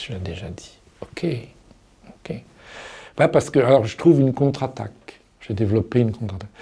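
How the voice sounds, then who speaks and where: A man with a medium pitch talks at a fairly quick pace with lively intonation, long, frequent pauses, and big swings in loudness. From Paris. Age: 60s. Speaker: person living with Alzheimer's disease. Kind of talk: interview answer. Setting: studio.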